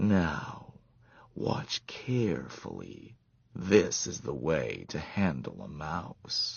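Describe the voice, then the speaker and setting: This put-on character voice carries a menacing tone and very wide pitch swings. It moves at a very slow pace. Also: man, very deep, low pitch for a man. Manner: cold-hearted, menacing.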